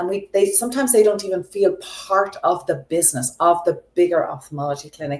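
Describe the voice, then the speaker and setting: A woman with a slight Irish accent and lively intonation. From Ireland. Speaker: optical business consultant. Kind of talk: interview.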